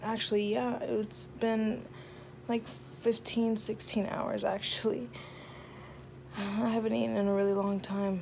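Soft-spoken and slow-paced, a woman talks with very wide pitch swings and long, frequent pauses over light background noise. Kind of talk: casual vlog chat. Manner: sleepy, soft post-surgery voice. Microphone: phone near.

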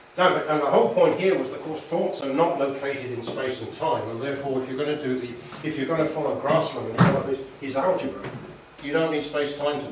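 A man talks at a very fast pace, his loudness swinging widely and his pitch varying in an ordinary way. Noticeable background noise and audible room echo surround him. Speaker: lecturer. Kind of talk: lecture. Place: meeting room. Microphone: camera far.

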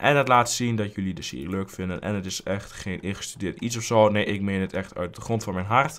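Ordinary pitch variation at a fairly quick pace. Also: man. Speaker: gaming youtuber. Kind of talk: let's play commentary. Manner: casual, rambling with fillers.

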